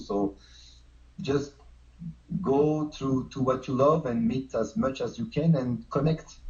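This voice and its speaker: A man speaks in a somewhat breathy voice. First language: not English. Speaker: street dancer. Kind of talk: casual chat.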